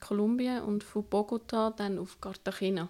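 Speaking at a very slow pace, a woman with a fairly high pitch uses ordinary pitch variation. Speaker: traveller. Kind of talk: casual chat.

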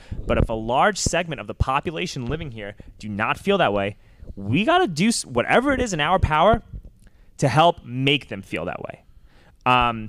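Speaking with an American accent at a fairly quick pace, a man uses a fairly high pitch that swings very widely. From New York. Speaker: podcast host, pedicab driver. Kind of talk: casual interview.

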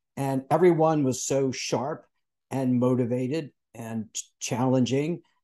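Speaking at a fairly slow pace, a man has an ordinary speaking voice with a medium pitch and fairly even intonation. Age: 60s. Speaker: podcast host. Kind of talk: casual interview chat.

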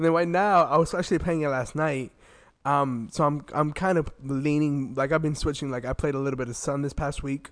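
A man with an ordinary speaking voice talks at a fairly quick pace in an American accent. His fairly high pitch stays fairly even against a quiet background. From Florida. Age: 20s. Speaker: podcast co-host. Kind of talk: casual chat.

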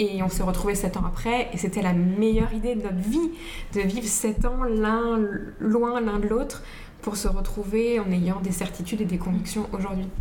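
A soft-spoken woman at a moderate pace, her loudness very even, with audible room echo and noticeable background noise. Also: medium pitch for a woman. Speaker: podcast guest. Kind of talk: casual chat.

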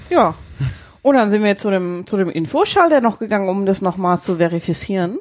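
At a fairly quick pace, a woman talks in a normal speaking voice at medium pitch with ordinary pitch variation. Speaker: podcast co-host. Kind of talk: casual chat. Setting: holiday rental in Husum. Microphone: too far from the mic, quiet.

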